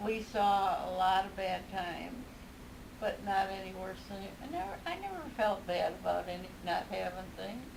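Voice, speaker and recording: A woman talks at a moderate speed while noticeable background noise carries on behind her. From Dayton, a small town near Ottawa. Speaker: grandmother. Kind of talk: interview answer.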